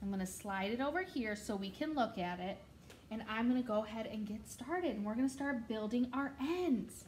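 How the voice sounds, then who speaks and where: A woman speaks with a fairly high pitch and lively intonation. There is audible echo from the room. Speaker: preschool or kindergarten teacher. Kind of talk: tutorial. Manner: animated.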